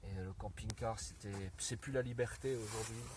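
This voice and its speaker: Over noticeable background noise, a man talks at a moderate pace and a fairly low pitch with ordinary pitch variation. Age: 50s. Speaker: motorbike traveller. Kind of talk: interview. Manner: soft-spoken.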